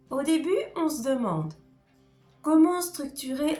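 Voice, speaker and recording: With music playing behind her, a woman speaks at a very slow pace. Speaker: writing coach. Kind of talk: educational talk to camera.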